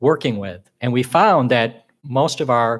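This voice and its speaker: The background is silent and the recording very clean. A man's voice sits at a medium pitch. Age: 60s. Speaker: social work professor. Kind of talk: conference talk. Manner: halting.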